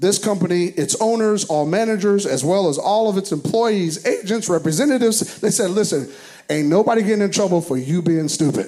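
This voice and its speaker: Amid noticeable background noise, a man with an American accent and a high pitch speaks in an animated tone at a fairly quick pace, with ordinary pitch variation and very even loudness. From US South. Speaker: pastor. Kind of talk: sermon. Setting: church.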